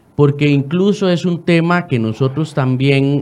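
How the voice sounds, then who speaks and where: In a Costa Rican accent, the speaker goes at a fairly slow pace with ordinary pitch variation over music in the background. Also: man. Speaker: lawyer. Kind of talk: radio interview.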